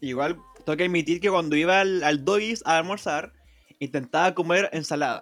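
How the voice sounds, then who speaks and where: In a Chilean accent, a man speaks with a high voice and fairly even intonation. He leaves long, frequent pauses while his loudness stays very even. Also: moderate pace. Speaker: podcast host. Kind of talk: casual chat.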